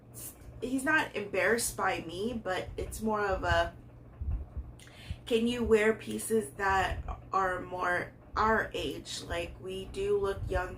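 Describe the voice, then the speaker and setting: A woman talks at a very slow pace with long, frequent pauses. Audible room echo fills the recording. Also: big swings in loudness. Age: 30s. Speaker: fashion YouTuber. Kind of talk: casual vlog try-on haul. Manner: hesitant with many fillers.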